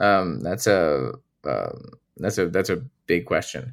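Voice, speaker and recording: Lively intonation and vocal fry mark this fairly slow delivery, captured in a very clean recording with a silent background. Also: man. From Romania. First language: Romanian. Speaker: tech policy researcher. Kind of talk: interview. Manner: halting, many fillers and repeats.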